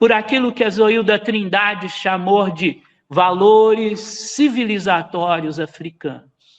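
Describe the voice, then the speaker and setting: A man's high-pitched voice at a very slow pace, with hardly any pauses. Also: ordinary pitch variation. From Brazil, Minas Gerais. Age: 60s. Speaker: musician and researcher, lecturer. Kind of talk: lecture.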